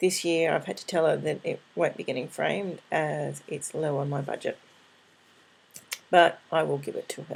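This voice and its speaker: At a moderate pace, a woman mumbles her words. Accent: Australian. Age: 40s. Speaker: craft vlogger. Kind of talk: casual vlog update. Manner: mumbling.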